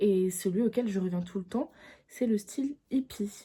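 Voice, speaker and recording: Somewhat breathy and dark, mellow in tone, a woman at a medium pitch speaks at a fairly slow pace with ordinary pitch variation. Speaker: YouTuber. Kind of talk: casual chat. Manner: halting.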